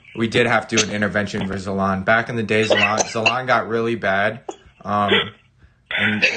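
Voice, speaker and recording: Noticeable background noise behind a man's fairly low voice at a fairly quick pace. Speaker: gaming YouTuber. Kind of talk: casual chat on live stream. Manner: loud; animated, all over the place.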